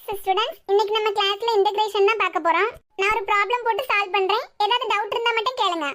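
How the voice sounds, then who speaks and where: A cartoonish character voice at a fairly quick pace, with fairly even intonation. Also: woman, extremely high pitch for a woman. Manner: calm, clear.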